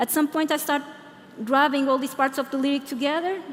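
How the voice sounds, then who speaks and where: Over noticeable background noise, a woman speaks with a Portuguese accent. Her voice is high in pitch. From Portugal (Lisbon). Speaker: product designer and conference speaker. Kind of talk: conference Q&A answer. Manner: hesitant, many fillers.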